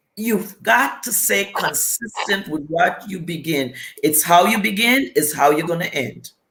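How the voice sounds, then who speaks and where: A woman with a Caribbean accent speaks at a fairly slow pace and a fairly low pitch, with lively intonation. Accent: Caribbean, noticeable. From US Virgin Islands. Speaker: business coach. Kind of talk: interview. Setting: live video stream.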